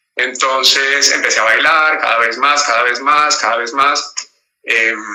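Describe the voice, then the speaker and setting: A man with a Colombian accent, fairly slow and fairly even in intonation, amid audible room echo. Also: medium pitch for a man. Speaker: actor, voice actor and dancer. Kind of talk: interview. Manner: halting, many fillers and repetitions.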